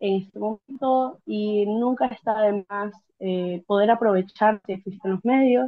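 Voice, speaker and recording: Ordinary pitch variation at a fairly slow pace. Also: woman. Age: 20s. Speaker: interviewee sharing migration experience. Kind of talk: interview. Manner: hesitant, many fillers.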